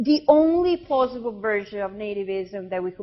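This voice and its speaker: A woman speaks with a non-native accent. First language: not English. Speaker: visiting philosopher lecturer. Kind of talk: lecture. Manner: halting, many fillers.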